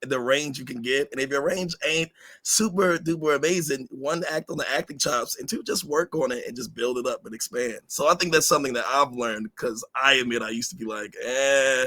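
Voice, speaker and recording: A man talks at a fairly quick pace with hardly any pauses, his fairly high voice bright and sharp in tone, with ordinary pitch variation, big swings in loudness, and a dry, close sound with no echo. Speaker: voice actor. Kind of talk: panel discussion.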